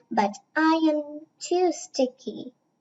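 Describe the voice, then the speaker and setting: The speaker puts on a character voice. It comes out squeaky. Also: woman, high pitch for a woman. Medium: read story.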